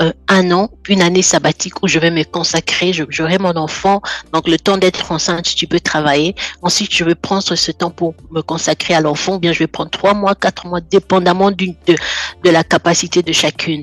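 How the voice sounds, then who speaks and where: The sound is dry and close with no echo, though noticeable background noise is present. A woman speaks in a fairly low pitch with monotone, flat intonation. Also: moderate pace. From French-speaking country. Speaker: guest sharing life testimony. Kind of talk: personal testimony in interview.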